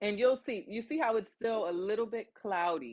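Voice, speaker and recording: A woman's pitch swings very widely as she speaks at a fairly quick pace. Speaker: soap maker livestreamer. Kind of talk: live tutorial. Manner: louder than usual; casual, chatty.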